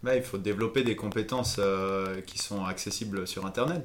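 A man talks in an ordinary speaking voice at fairly low pitch. His intonation stays fairly even. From Switzerland, Valais. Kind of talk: casual interview. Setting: recorded over a few beers.

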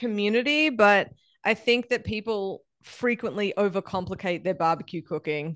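In an American accent, a woman talks at a moderate pace with a fairly high pitch and lively intonation. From Australia. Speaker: barbecue expert and meat scientist. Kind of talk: casual interview chat.

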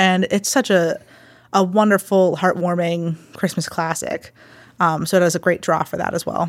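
On a very clean recording with a silent background, a woman speaks in a Western Pennsylvania accent at a moderate pace, with fairly low pitch and monotone, flat intonation. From Pittsburgh area, Pennsylvania. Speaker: theater director. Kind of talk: interview.

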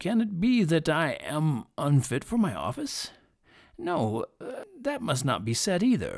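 A put-on character voice from a man, high-pitched with very wide pitch swings and a fairly slow pace, on a very clean recording with a silent background. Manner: anxious, flustered.

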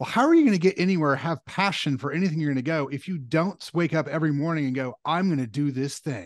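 This man talks at a very fast pace with a fairly high pitch and ordinary pitch variation. The background is quiet. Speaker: podcast host. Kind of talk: casual interview chat.

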